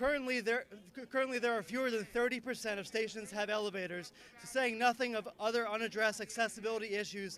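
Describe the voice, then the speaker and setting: A man with a high pitch uses a raised, projected voice at a fairly quick pace. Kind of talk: rally speech.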